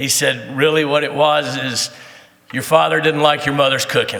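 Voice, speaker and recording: Against noticeable background noise, a man speaks in a fairly high pitch with an American accent. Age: 60s. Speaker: teacher and soccer coach. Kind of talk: speech to audience. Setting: breakfast event with audience. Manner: conversational, with many fillers.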